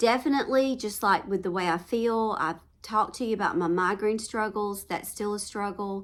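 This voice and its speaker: A woman speaks with a Southern US accent. Her pace is moderate and her pitch variation ordinary. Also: medium pitch for a woman. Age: 50s. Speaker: home lifestyle vlogger. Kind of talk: casual chat. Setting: at home.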